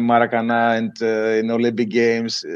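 Speaking at a moderate pace, a man uses a medium pitch and a Greek accent. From Greece. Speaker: water polo coach. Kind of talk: interview.

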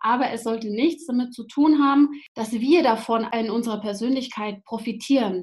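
A woman with a normal speaking voice, fairly high in pitch, at a moderate pace with ordinary pitch variation and big swings in loudness. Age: 30s. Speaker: social pedagogue and parent coach. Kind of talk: casual interview.

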